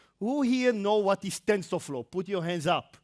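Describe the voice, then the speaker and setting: At a moderate pace, a man speaks in a very clean recording with a silent background and a dry, close sound with no echo. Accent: Israeli. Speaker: tech industry presenter. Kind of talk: conference talk. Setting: stage with audience.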